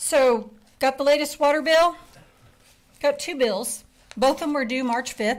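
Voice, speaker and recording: A woman with an American accent speaks loud and at a high pitch, at a fairly slow pace with long, frequent pauses. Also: ordinary pitch variation. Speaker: resident speaking at town hall. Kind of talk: public comment. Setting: town hall meeting.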